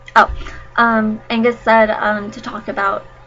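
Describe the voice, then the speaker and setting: The speaker has an American accent and a fairly slow pace. Noticeable background noise runs underneath. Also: woman. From United States. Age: 20s. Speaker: vlogger, nursing student. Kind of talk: casual vlog chat. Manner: hesitant, many fillers.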